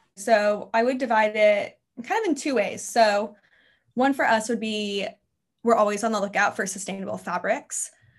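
A woman with a normal speaking voice, fairly high in pitch, at a moderate pace with fairly even intonation against a quiet background. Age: 20s. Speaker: brand manager. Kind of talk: interview.

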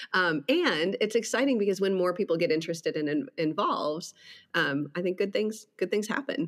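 A woman with an American accent in an ordinary speaking voice, medium in pitch, at a fairly quick pace with lively intonation and very even loudness. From Wisconsin. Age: 40s. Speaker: podcast host and pastor. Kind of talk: casual interview.

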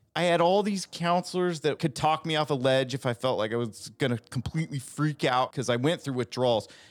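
A man speaks in an ordinary speaking voice, fairly high-pitched, at a fairly quick pace with hardly any pauses and ordinary pitch variation. The recording is very clean, with a silent background. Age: 40s. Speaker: guest sharing addiction recovery story. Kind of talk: casual chat; personal testimony.

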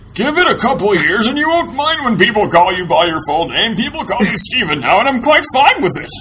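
A man's put-on character voice, extremely high in pitch, raised and projected, at a fairly quick pace over clear background noise.

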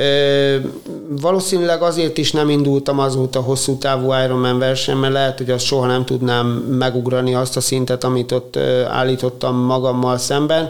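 Monotone, flat speech from a man at a medium pitch and a moderate pace. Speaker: paediatric surgeon and triathlete. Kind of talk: interview.

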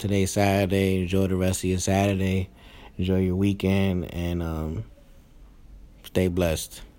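In a quiet, dark and mellow voice with a very deep, low pitch, a man speaks with an American accent at a moderate pace, his intonation monotone and flat, broken by long, frequent pauses. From New York. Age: 30s. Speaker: podcast host and new father. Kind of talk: casual chat. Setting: hospital room. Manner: speaking quietly; uneven, unpolished delivery.

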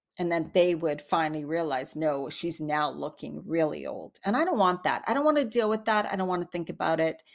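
A woman with a fairly low pitch and ordinary pitch variation talks at a fairly quick pace in a plain, everyday voice, with hardly any pauses. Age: 50s. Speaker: podcast host. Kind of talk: solo monologue. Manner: casual, chatty with laughs.

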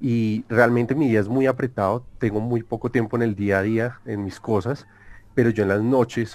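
Speaking at a moderate pace, a man with a Colombian accent uses a medium pitch. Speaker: algorithmic trader. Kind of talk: interview.

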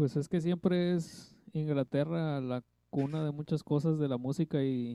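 A man with a dark, mellow tone speaks at a fairly high pitch. His intonation is fairly even, and the background is quiet. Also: dry, close sound with no echo. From Mexico, Tlaxcala. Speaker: podcast guest, film fan. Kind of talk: casual chat.

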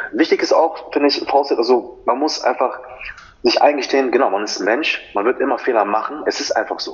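Background noise is noticeable throughout. A man's speech moves at a moderate pace. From Germany. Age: 20s. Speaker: personal trainer and fitness model. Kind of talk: podcast interview.

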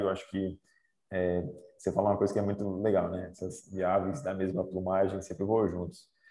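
A man with a dark, mellow tone. The recording is very clean, with a silent background. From Northeast Brazil, raised in Aracaju, Sergipe. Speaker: Olympic cyclist. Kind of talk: casual interview.

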